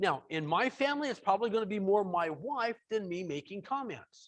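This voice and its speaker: A man talks loudly in a high voice with lively intonation. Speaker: software trainer. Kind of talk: webinar tutorial. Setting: online webinar from home.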